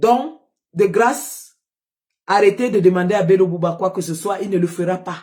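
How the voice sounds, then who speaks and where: Ordinary pitch variation marks a woman's somewhat breathy speech. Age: old. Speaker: political live streamer. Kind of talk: political livestream commentary. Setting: live stream. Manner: animated, rallying.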